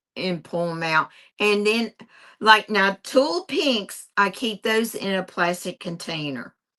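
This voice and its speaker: A woman speaks very slowly with a West Virginia accent, her medium pitch showing ordinary variation. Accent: West Virginia accent, noticeable. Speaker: quilter. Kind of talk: casual chat. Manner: animated.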